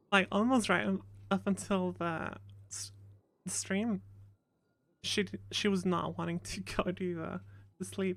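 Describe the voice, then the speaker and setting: In a very clean recording with a silent background, a woman speaks. Her pace is fairly slow, with long, frequent pauses. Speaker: streamer playing a roleplay character. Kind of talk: casual chat. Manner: mumbling.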